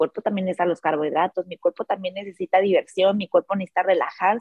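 A woman speaks at a medium pitch. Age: 30s. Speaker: life coach. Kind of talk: casual chat. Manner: animated.

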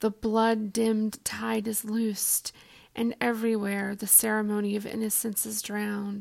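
The voice has a warm, gentle tone and moves at a fairly slow pace. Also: woman. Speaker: poetry podcast host. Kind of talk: poem reading aloud; reflective monologue intro. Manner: slow, hushed and measured, gentle; warm, sincere, intimate.

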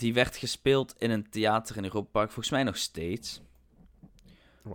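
A man of medium pitch talks at a moderate pace with ordinary pitch variation, on a very clean recording with a silent background. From Netherlands, not Limburg. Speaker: theme park podcast co-host. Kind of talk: casual chat. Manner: giggly, playful.

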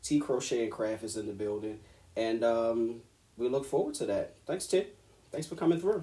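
Somewhat breathy, a man with an American accent talks at a moderate pace and medium pitch, his tone dark and mellow and his intonation lively. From West Baltimore, Maryland. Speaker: podcast host. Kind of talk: casual chat.

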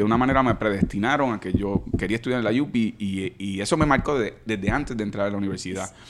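A man with a medium pitch and ordinary pitch variation talks at a very fast pace against noticeable background noise. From Puerto Rico, Caguas. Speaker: senator and lawyer. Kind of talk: casual interview.

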